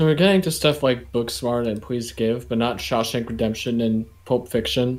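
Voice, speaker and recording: A man speaks with an unremarkable speaking voice at a medium pitch, with ordinary pitch variation and hardly any pauses. The recording is very clean with a silent background. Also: moderate pace. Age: young. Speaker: podcast co-host. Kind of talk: casual chat.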